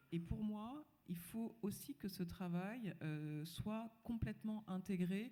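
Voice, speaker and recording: Her voice is somewhat breathy, and this woman has a dark, mellow tone. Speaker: panelist. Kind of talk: panel discussion.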